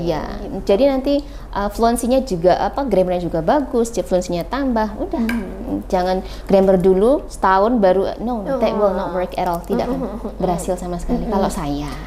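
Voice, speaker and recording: With hardly any pauses, a woman at a medium pitch talks at a fairly quick pace with lively intonation over noticeable background noise. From Wonogiri, Indonesia. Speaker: English teacher. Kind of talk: podcast guest interview answer.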